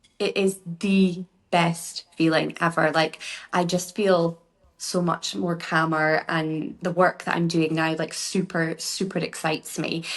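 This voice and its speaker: A woman with a Scottish accent speaks at a fairly slow pace, her pitch fairly low and her intonation fairly even. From Scotland. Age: 40s. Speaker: beauty therapist and workshop founder. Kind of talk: podcast interview. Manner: chatty, informal.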